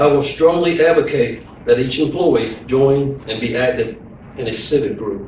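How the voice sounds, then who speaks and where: Through noticeable background noise and audible room echo, a man with an American accent speaks with fairly even intonation. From eastern North Carolina. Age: 50s. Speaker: sheriff candidate, police chief. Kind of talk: campaign speech, partly read from a news release. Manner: hurried.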